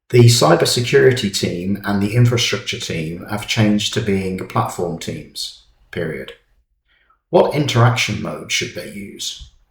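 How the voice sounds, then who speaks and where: With an English accent, a man speaks fairly slowly in a fairly low pitch, using lively intonation and vocal fry. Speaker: software tutorial presenter. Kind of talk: software tutorial. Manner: casual with fillers.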